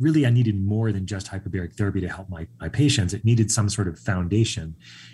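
A man with an American accent talks at a very fast pace and fairly low pitch, somewhat breathy, with ordinary pitch variation, on a very clean recording with a silent background. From Long Island, New York. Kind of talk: casual interview. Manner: calm, zen.

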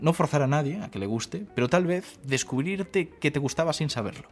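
A man's fairly high-pitched voice at a fairly quick pace, with music in the background. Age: 20s. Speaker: science communicator. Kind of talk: interview.

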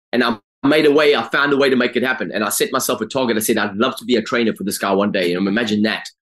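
A man talks at a very fast pace, his medium pitch showing ordinary variation. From South Africa, Durban. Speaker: life coach. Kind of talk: life story interview.

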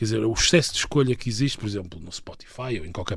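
A man is speaking. His voice is somewhat breathy. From northern Portugal, Viana do Castelo. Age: 30s. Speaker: political scientist. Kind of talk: interview. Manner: halting.

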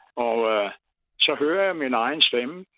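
A man talking at a very slow pace, with ordinary pitch variation. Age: 80s+. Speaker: retired caller. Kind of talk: phone-in chat.

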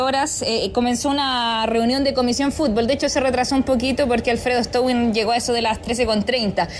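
A woman speaks at a high pitch and a moderate pace, with ordinary pitch variation and very even loudness. Noticeable background noise can be heard. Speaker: sports reporter. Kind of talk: field report.

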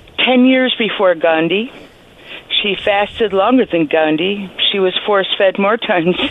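A woman's medium-pitched voice at a fairly slow pace, ordinary pitch variation, and noticeable background noise. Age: 70s. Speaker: historian of the suffrage movement. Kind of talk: radio interview. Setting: phone call.

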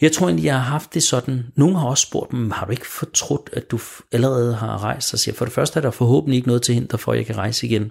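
A man with vocal fry at a medium pitch, talking at a very fast pace in a very clean recording with a silent background. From Denmark, Smørum. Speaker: guest on a faith radio show. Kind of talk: radio interview. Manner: hesitant, many repeated words.

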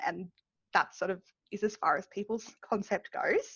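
A woman speaks with an Australian accent. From Australia, New South Wales (Dubbo). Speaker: community advocate. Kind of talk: casual chat. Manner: loud.

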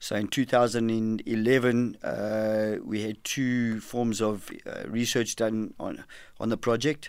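A man with a medium pitch speaks at a very slow pace in a monotone, flat way. The recording is very clean with a silent background. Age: 50s. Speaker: former boxer and program director. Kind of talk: interview. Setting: radio studio.

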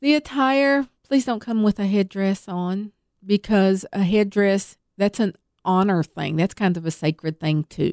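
Lively intonation from a woman with a Southern accent, medium in pitch, at a fairly slow pace, dry and close with no echo on a very clean recording with a silent background. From Tennessee, US South. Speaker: powwow organizer. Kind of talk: interview. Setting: studio.

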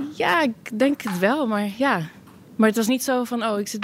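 A woman speaks with ordinary pitch variation at a moderate pace while noticeable background noise runs underneath. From Netherlands. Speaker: tech support employee. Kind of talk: casual interview. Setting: office, later a pub.

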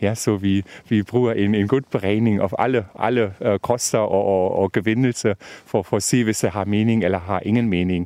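A man with a German accent speaks at a fairly slow pace in a fairly low voice, his intonation fairly even and his loudness very even. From Germany, Brandenburg. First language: German (speaking Danish). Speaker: senior researcher. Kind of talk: field interview. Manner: halting, mixing Danish and German.

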